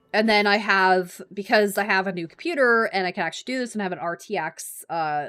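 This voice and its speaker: Lively in intonation, a woman speaks at a moderate pace and medium pitch on a very clean recording with a silent background. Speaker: gaming streamer. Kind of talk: live gameplay stream chat. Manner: loud; casual, filler-heavy.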